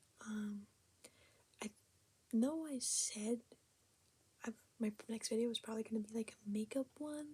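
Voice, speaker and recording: Soft-spoken with ordinary pitch variation, a woman talks over noticeable background noise. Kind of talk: casual ASMR talk to camera.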